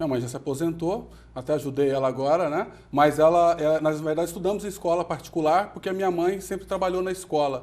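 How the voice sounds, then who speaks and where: A man with a Goiás accent talks at a very fast pace and high pitch, using ordinary pitch variation. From Brazil, Goiânia (Goiás). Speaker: entrepreneur and company founder. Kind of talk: TV interview.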